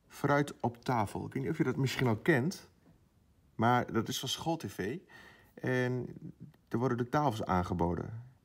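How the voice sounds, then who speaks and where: Over a quiet background, a man speaks very slowly with lively intonation. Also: long, frequent pauses. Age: 20s. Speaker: primary school teacher. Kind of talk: casual vlog. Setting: at school. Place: classroom.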